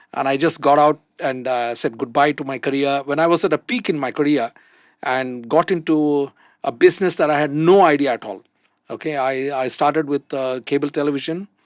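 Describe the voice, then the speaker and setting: A man speaks fairly quickly at a fairly high pitch, with fairly even intonation. The recording is very clean, with a silent background and a dry, close sound with no echo. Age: 60s. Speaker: entrepreneur. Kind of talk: panel discussion. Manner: hesitant, many fillers.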